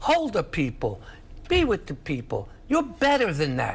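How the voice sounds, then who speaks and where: A man speaks with a New York accent. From New York City (Queens). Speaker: political analyst. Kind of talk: heated debate. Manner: animated.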